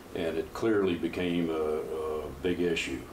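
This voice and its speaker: Someone speaks at a fairly slow pace with an American accent. Noticeable background noise and audible room echo surround the voice. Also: man. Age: 50s. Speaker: powerlifter and coach. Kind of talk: interview.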